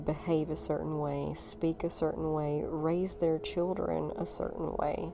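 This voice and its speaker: A woman with a Southern US accent speaks at a very slow pace. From US South, North Alabama. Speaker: spiritual podcaster. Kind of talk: casual chat.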